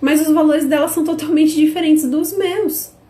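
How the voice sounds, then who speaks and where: Her tone animated, a woman speaks at a moderate pace in a high pitch. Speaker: business course teacher. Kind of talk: online live class.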